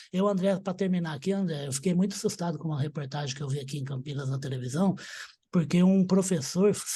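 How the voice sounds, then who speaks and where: A man's high-pitched, dark and mellow voice at a very fast pace, with ordinary pitch variation. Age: 60s. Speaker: agribusiness talk show host. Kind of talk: interview. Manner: animated.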